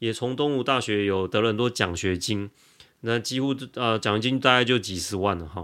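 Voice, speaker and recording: At a moderate pace, a man speaks at medium pitch in a bright, sharp tone with ordinary pitch variation. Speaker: lawyer. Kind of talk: interview.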